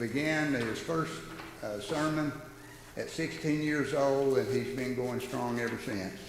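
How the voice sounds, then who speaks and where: Speaking fairly slowly at medium pitch, a man with a Southern US accent is heard with audible room echo and noticeable background noise. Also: ordinary pitch variation. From North Georgia, US South. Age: 60s. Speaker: church class leader. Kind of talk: church announcements and introduction. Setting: church Bible class.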